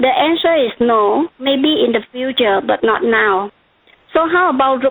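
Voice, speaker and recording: A woman with a Vietnamese accent speaks in a high voice. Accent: noticeable Vietnamese. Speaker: regulatory consultant presenter. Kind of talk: webcast presentation.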